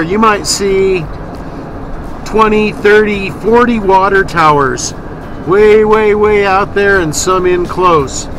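A raised, projected voice from a man at a high pitch, the sound dry with no echo, with noticeable background noise. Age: old. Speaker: RV travel vlogger. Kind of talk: casual vlog narration. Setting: in a car. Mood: relaxed, chatty. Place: car. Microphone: phone near.

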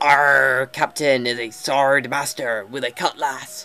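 In a put-on character voice, the speaker talks at a fairly slow pace with a low-to-middle pitch.

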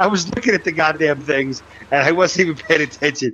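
Over noticeable background noise, a man talks with ordinary pitch variation. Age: 30s. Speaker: gamer playing with friends. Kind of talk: casual chat.

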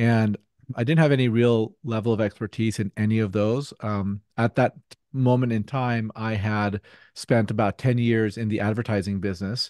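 A man speaks at a moderate pace with fairly even intonation. The sound is dry with no echo and the background is quiet. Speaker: podcast guest. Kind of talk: interview answer. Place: home room. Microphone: studio mic.

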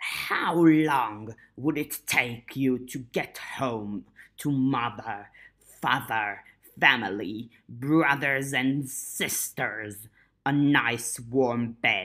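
Against a silent background in a very clean recording, a put-on character voice moves at a very slow pace with a low-to-middle pitch. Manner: menacing, taunting.

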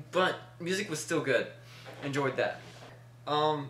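A man with audible room echo and light background noise. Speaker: reaction video host. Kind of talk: casual vlog chat. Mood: relaxed, rambling. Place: home room. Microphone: webcam.

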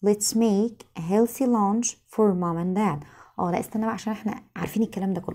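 A woman with an Egyptian accent speaks at a fairly quick pace in a somewhat breathy, dark and mellow tone with ordinary pitch variation, against a quiet background. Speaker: English teacher. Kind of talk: lesson. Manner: repetitive, drilling phrases aloud. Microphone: phone near.

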